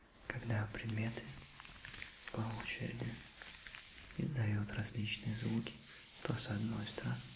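A man with a fairly low pitch and ordinary pitch variation speaks at a fairly slow pace, with noticeable background noise. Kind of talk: soft-spoken ASMR role-play. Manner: gentle whisper into microphone.

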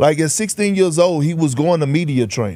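At a moderate pace, a man with an American accent speaks in a fairly high pitch with ordinary pitch variation and an unremarkable speaking voice. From Texas, Beaumont. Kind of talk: casual chat. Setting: studio.

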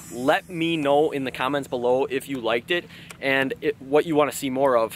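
The man's pace is fairly quick, with ordinary pitch variation. The sound is dry with no echo, and there is light background noise. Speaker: fishing vlogger. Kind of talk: casual vlog intro. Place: waterside.

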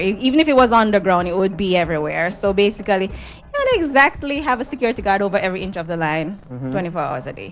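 Faint music plays in the background as a woman speaks at a fairly quick pace. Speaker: guest. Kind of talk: interview answer. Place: studio. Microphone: handheld.

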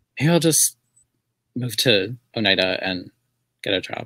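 Against a quiet background, a man with an American accent speaks in a dry sound with no echo. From US Southwest. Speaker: artist and writer; guest. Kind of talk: casual chat. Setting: video call. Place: home room.

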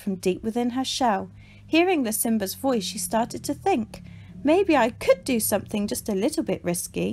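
With a natural voice, someone reads aloud, the intonation lively throughout.

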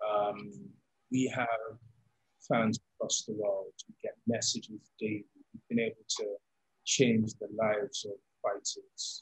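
A man at a fairly slow pace, with big swings in loudness, long and frequent pauses, and a quiet background. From London, England. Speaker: combat sports league founder. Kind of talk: interview. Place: home room. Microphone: studio mic.

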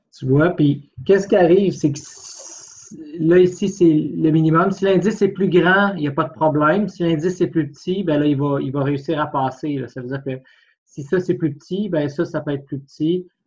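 A man with a Quebec accent, fairly high-pitched, at a moderate pace against a quiet background. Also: ordinary pitch variation. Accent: Québécois French. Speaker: physics tutor. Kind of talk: tutorial. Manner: informal, hesitant thinking aloud.

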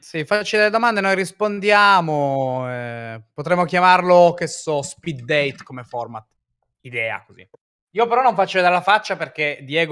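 At a moderate pace, a man's high, bright and sharp voice makes very wide pitch swings and big swings in loudness. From Turin, northern Italy. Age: 30s. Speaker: streamer. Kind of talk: casual chat.

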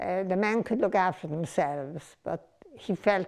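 Over a quiet background, a woman with an Irish accent talks at a moderate pace with ordinary pitch variation. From Ireland. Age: 80s+. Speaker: documentary interviewee. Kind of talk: documentary interview answer. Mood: reflective, reminiscing. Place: home room. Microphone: lapel.

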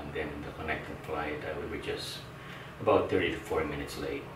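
A man at a moderate pace, with noticeable background noise. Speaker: travel vlogger. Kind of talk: casual vlog chat. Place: home room.

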